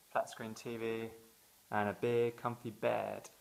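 Speaking in a British accent, a man talks at a fairly low pitch. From England. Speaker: vlogger. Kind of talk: casual talk to camera.

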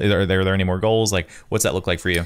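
The background is quiet. A man speaks in a fairly low voice. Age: 30s. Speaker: podcast host and wedding photographer; podcast host. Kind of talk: casual chat. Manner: animated. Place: home room. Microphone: studio mic.

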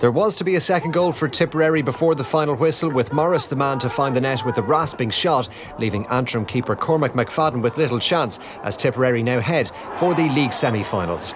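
A man with a fairly high pitch talks at a very fast pace with lively intonation, and background noise is noticeable. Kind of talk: scripted match report narration. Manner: clear, measured, formal.

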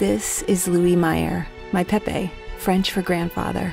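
A woman speaks over clear music in the background, with a dry sound and no echo. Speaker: voice actor. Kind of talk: autobiographical storytelling. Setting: studio. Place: studio. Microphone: studio mic.

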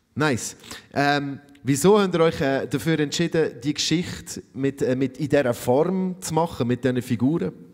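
A man talks at a moderate pace. His fairly high pitch shows ordinary variation. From Switzerland. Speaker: festival moderator. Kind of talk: stage interview. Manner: animated. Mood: friendly, casual, encouraging. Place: stage. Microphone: handheld.

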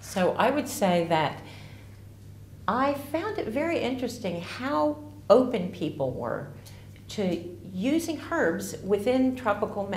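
A woman with an American accent speaks fairly slowly, her pitch swinging very widely, with audible room echo and light background noise. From US, Ozark Mountains region. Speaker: herbalist. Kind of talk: promotional talk to camera. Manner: casual, slightly halting. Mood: warm, enthusiastic. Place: home room.

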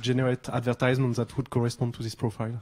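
The man's intonation stays flat and monotone throughout. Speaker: audience member. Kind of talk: Q&A question. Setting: lecture hall with audience. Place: classroom.

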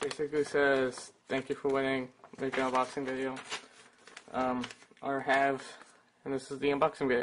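Long pauses break up the speech often, though it moves at a moderate speed. Noise is noticeable in the background. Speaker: YouTuber. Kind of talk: unboxing video. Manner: casual, hesitant with fillers.

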